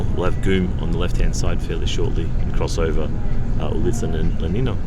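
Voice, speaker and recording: A man with a very deep, low voice talks at a very fast pace, with noticeable background noise and audible room echo. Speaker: vlogger. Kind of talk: travel commentary. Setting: on a bus. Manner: soft-spoken.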